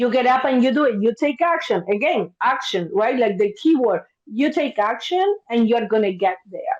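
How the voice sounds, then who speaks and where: A woman with an Argentine accent speaks at a moderate pace in a high voice, her pitch swinging very widely while her loudness stays very even. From Argentina, Buenos Aires. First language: Spanish. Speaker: therapist. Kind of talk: podcast interview. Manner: animated.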